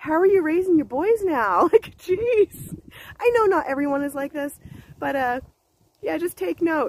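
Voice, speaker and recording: The speaker is a woman with an American accent. She talks at a moderate speed. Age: 50s. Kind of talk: casual talk to camera. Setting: outdoors.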